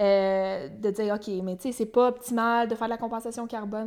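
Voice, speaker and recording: In a Quebec accent, a woman speaks fairly quickly at a fairly high pitch. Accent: Québécois French. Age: 20s. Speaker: young entrepreneur. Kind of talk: interview.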